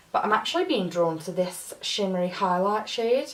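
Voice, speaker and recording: Lively intonation marks a woman speaking at a moderate pace. Background noise is noticeable. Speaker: beauty YouTuber. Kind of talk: makeup tutorial review.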